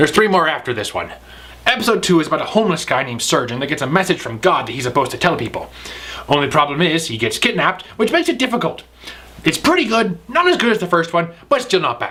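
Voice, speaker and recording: A man puts on a gruff character voice, pitched high and delivered at a very fast pace. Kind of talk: comic pirate speech. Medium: comedy sketch. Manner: gruff, swaggering, pirate slang.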